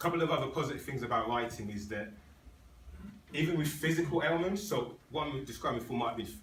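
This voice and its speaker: Against noticeable background noise, a man of medium pitch talks at a fairly quick pace with lively intonation. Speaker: Toastmasters club speaker. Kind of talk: public speech to club audience. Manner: fast.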